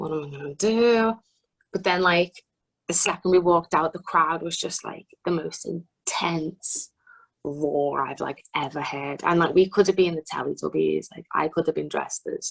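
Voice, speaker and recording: With a Liverpool accent, a woman speaks in a fairly low voice at a moderate pace. Her pitch varies in an ordinary way while her loudness swings widely. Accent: Scouse. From Liverpool, north-west England. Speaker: singer-songwriter. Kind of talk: interview. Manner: animated.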